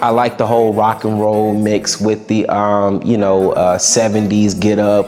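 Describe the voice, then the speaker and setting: A man talks with monotone, flat intonation. Behind him is noticeable background noise. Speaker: musician. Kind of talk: interview.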